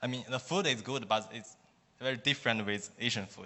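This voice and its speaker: With a Chinese accent, a man speaks at a medium pitch with fairly even intonation. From China. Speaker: student. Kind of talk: testimony. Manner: halting.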